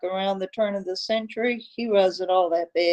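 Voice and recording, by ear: The passage is read aloud in a natural-sounding voice.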